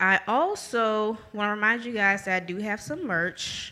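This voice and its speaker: With a bright, sharp tone, this woman keeps her pitch at a medium level. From New Orleans. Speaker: podcast host. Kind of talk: podcast outro announcements; casual interview. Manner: laughs often.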